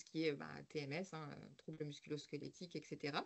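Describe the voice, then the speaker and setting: A woman talks at a fairly quick pace. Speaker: occupational health service staff presenter. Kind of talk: webinar presentation. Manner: hesitant, many fillers.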